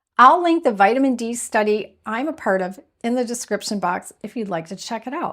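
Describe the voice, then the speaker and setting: With an unremarkable speaking voice, a woman speaks at a moderate pace in a fairly high pitch with ordinary pitch variation, on a very clean recording with a silent background. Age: 60s. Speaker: health video creator. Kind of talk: health advice talk. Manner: conversational.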